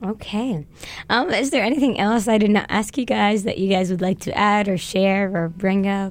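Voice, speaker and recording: A woman speaks in a normal speaking voice at a moderate pace. Her pitch is medium with ordinary variation. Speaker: podcast host and college student. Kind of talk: casual interview. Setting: studio.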